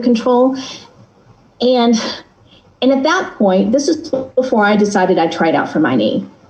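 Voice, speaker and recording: A woman with an American accent speaks at a fairly high pitch with lively intonation and very even loudness, pausing long and often amid noticeable background noise and audible room echo. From Texas. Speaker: guest sharing a personal experience. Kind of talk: casual chat. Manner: fast.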